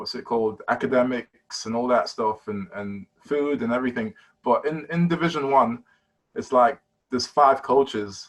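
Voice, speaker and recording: A man with a British accent talks at a medium pitch. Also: ordinary pitch variation, moderate pace. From London, East London. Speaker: basketball player. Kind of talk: casual interview.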